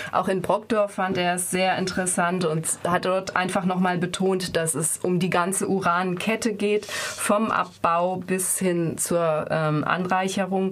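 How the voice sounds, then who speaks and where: A woman speaks at a fairly slow pace with hardly any pauses, her intonation monotone and flat. Her loudness stays very even, and there is noticeable background noise. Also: medium pitch for a woman. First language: German. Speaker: radio interviewer. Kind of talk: radio interview.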